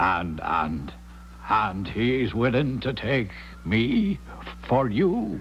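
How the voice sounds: A man puts on a character voice at a fairly low pitch, with big pitch swings. He talks at a very slow pace over faint background noise.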